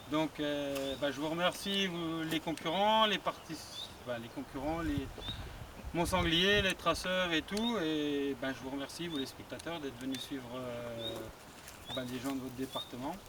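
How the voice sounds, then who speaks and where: A man's fairly high voice, with ordinary pitch variation and a fairly slow pace, over noticeable background noise. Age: 40s. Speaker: hunting association president, event organiser. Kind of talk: speech to an outdoor audience at a competition.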